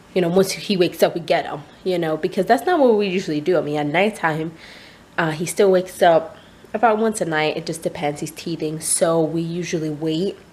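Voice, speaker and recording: Over noticeable background noise, a woman speaks at a fairly quick pace with a fairly low pitch. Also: ordinary pitch variation. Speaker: vlogger and new mother. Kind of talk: casual vlog. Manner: hesitant, many fillers.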